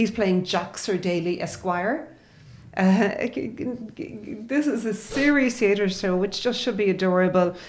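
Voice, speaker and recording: With an Irish accent, a woman of medium pitch talks at a fairly slow pace with lively intonation. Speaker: arts editor. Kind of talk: casual chat. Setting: studio. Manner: animated.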